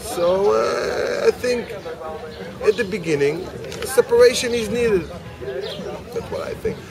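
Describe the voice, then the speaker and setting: Over crowd noise in the background, a man's voice comes through dry, with no echo. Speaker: interviewee. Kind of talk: interview answer. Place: cafe. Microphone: camera far.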